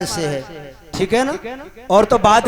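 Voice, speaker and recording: A man's voice against noticeable background noise. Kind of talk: religious discourse, storytelling to a live audience.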